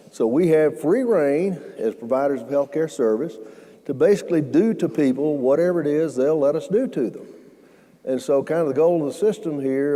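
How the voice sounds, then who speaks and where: Talking at a moderate pace, a man with a Southern US accent has a fairly high pitch. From US South (Alabama). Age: 70s. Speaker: healthcare entrepreneur. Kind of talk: fireside chat talk. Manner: halting, many fillers.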